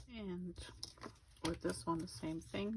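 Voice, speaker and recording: A woman speaks at a very slow pace. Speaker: scrapbooking crafter. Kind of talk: casual craft tutorial talk.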